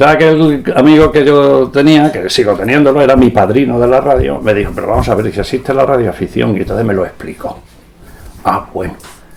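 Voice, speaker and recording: A man speaks at a fairly quick pace with an Extremaduran accent and lively intonation, over noticeable background noise. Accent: Extremaduran Spanish (Badajoz). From Spain, Badajoz (Extremadura). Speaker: veteran radio amateur, engineer. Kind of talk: interview, anecdotal storytelling. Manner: animated.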